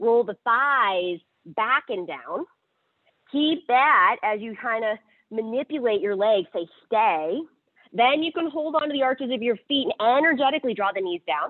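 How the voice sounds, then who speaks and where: At a moderate pace, a woman speaks in a fairly high voice with lively intonation. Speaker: yoga teacher. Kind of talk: guided yoga class instruction. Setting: livestreamed yoga class. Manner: loud.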